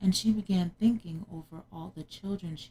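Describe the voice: Plain reading aloud shows ordinary pitch variation here.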